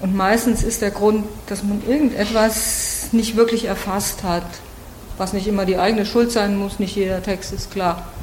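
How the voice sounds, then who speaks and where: Amid noticeable background noise and audible room echo, a woman speaks at a moderate pace and medium pitch in a monotone, flat intonation. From Germany. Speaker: literary translator and workshop leader. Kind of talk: interview.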